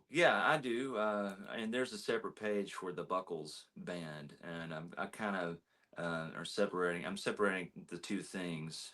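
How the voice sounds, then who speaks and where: With an American accent, a man speaks at a moderate pace in a very deep, low pitch and ordinary pitch variation. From Texas (McKinney, Dallas area). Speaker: country singer. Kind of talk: casual interview.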